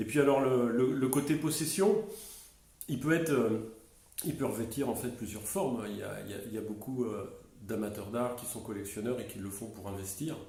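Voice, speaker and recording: A man of medium pitch talks at a moderate pace, with ordinary pitch variation and big swings in loudness. There is audible room echo and noticeable background noise. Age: 60s. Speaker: business owner and art enthusiast. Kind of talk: interview. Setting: at his home. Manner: hesitant, many fillers.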